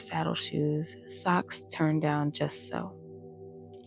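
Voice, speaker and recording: Over music in the background, a woman speaks softly. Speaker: bedtime story reader. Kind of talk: bedtime story reading. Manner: soft-spoken.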